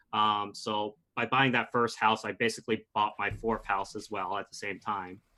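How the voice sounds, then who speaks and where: A man with a fairly low pitch and a bright, sharp tone speaks in a monotone, flat intonation at a moderate pace over a very clean recording with a silent background. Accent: American. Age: 20s. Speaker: real estate investor and pharmacist. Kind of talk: podcast interview.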